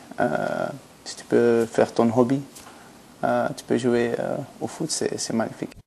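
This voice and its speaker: A man speaks at a fairly slow pace with long, frequent pauses. Background noise is noticeable. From Belgium, Antwerp. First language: Flemish (Dutch) (speaking French). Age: 20s. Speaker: professional footballer. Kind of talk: interview. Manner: halting.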